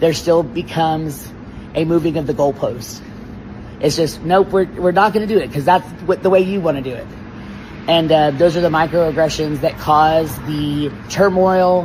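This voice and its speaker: Noticeable background noise behind a man with a fairly high pitch, moderate pace and ordinary pitch variation. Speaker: attorney. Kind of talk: interview. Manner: loud; hesitant with fillers.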